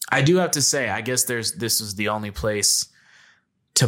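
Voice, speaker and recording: A man speaks in a normal speaking voice at a medium pitch and a moderate pace. His pitch varies in an ordinary way, and the recording is very clean with a silent background. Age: 20s. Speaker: podcast co-host. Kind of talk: casual chat.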